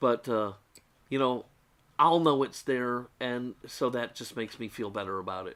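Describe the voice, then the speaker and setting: Loudness swings in big ways while the pitch varies in an ordinary way. The recording is very clean, with a silent background. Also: man, medium pitch for a man. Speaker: diecast model customizer. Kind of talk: tutorial. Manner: fast.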